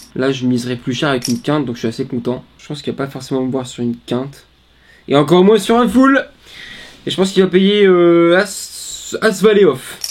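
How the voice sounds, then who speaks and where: A man speaks at a fairly quick pace and fairly high pitch. His voice makes very wide pitch swings and big swings in loudness. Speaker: poker streamer. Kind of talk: live poker commentary.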